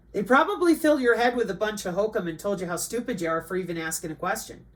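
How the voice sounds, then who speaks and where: The pace is very fast. The intonation is lively. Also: woman, medium pitch for a woman. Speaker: online commentator. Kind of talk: livestream commentary. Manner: animated.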